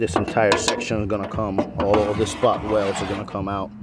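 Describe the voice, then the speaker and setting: With noticeable background noise behind him, a man speaks at a moderate pace in a fairly low pitch. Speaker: car restoration hobbyist. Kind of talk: tutorial. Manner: casual, hesitant with fillers.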